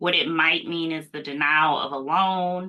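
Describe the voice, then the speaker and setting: A woman with a slight Mississippi accent and a bright, sharp tone, fairly low in pitch with ordinary pitch variation, at a moderate pace. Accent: slight Mississippi Southern. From US South, Mississippi. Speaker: cybersecurity policy expert, attorney. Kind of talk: live Q&A interview.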